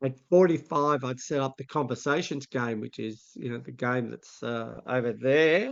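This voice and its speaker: A man speaks in a plain, everyday voice at medium pitch, with ordinary pitch variation, a moderate pace, big swings in loudness and hardly any pauses. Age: 60s. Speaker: vision educator and mentor. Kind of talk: interview conversation.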